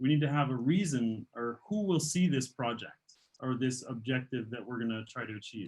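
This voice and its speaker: The man's voice sits at a fairly high pitch and sounds somewhat breathy. He speaks at a fairly quick pace. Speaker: teacher trainer. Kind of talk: online teacher training session. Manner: fast; halting with repetitions.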